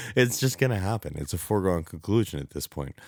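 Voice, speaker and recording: A man's voice with lively intonation. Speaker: podcast host. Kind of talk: casual solo monologue. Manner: halting.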